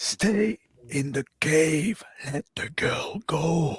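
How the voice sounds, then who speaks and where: A raspy put-on character voice at a middle pitch drawls out its words at a very slow pace. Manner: commanding, menacing.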